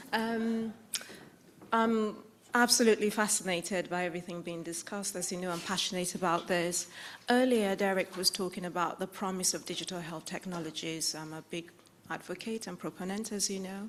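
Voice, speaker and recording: A woman's medium-pitched voice at a fairly quick pace with fairly even intonation. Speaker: audience member asking a question. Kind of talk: conference Q&A question. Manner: fast.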